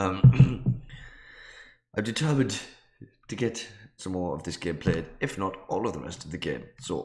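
A man speaks at a fairly slow pace with a very deep, low pitch that swings very widely. His tone is dark and mellow, and somewhat breathy. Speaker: gaming video creator. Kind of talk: let's play commentary. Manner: casual, rambling.

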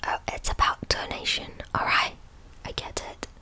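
A soft-spoken woman whispers at a very slow pace. Noticeable background noise runs underneath. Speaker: ASMR creator. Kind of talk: soft-spoken ASMR reading chat. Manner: soft close-mic whisper. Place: home room. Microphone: studio mic.

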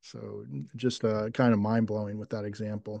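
A man with an American accent speaks at a fairly slow pace. The background is quiet. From United States. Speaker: discussion group host. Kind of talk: group discussion. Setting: video call. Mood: reflective, impressed. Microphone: video call.

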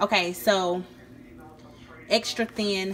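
This is a woman at a medium pitch. Her pitch variation is ordinary.

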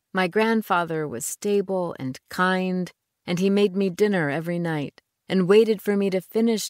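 An ordinary speaking voice moves at a moderate pace with ordinary pitch variation. The recording is very clean, with a silent background and a dry, close sound with no echo. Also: woman. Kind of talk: audiobook narration, first-person reading aloud of a novel. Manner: measured, reflective, storytelling pace with a wistful tone.

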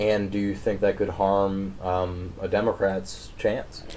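A man with an American accent uses an ordinary speaking voice, talking at a fairly slow pace with a fairly low pitch over light background noise. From southern Pennsylvania. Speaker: newspaper interviewer. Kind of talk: interview. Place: home room. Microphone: camera far.

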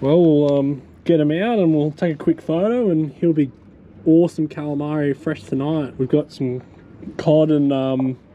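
The speaker is a man. He talks at a moderate pace with ordinary pitch variation. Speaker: fishing vlogger. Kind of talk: casual vlog chat. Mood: excited, pleased. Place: waterside. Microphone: camera far.

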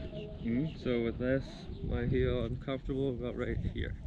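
The speaker is a man, heard over noticeable background noise. The sound itself is dry with no echo. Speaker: kicking coach. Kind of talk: coaching instruction. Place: open country.

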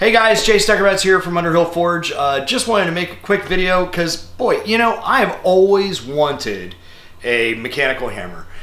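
Audible room echo surrounds a man who speaks at a moderate pace with a high pitch. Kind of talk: casual tutorial to camera. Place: workshop.

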